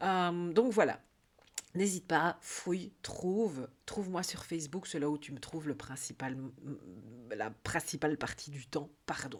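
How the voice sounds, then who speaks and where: A woman speaks at a fairly slow pace in a fairly low voice, her intonation lively and her loudness swinging widely. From Belgium. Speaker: life coach. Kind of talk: casual vlog monologue. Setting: YouTube video. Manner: hesitant, many fillers (euh).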